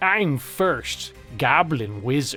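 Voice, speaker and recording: With clear music in the background, a man does a squeaky, put-on character voice at a fairly high pitch. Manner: proud.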